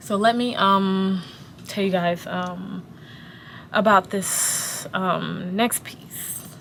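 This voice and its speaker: A woman speaks at a very slow pace in a medium pitch, with monotone, flat intonation and big swings in loudness. Noticeable background noise and audible room echo fill the recording. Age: 20s. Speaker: pharmacist and manager. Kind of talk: casual vlog rant while working. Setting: at work in a pharmacy. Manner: pauses a lot.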